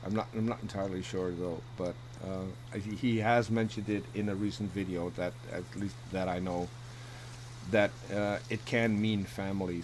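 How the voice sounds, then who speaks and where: Speaking with a non-native accent, a man keeps a moderate pace. His pitch is fairly low and his intonation lively. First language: not English. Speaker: debater on atheism. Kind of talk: casual chat. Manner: halting.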